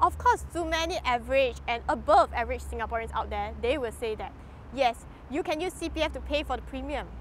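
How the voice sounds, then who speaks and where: A woman's voice comes through in a dry sound with no echo and light background noise. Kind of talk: speech to camera on rights issues. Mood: earnest, critical, questioning. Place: garden. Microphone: lapel.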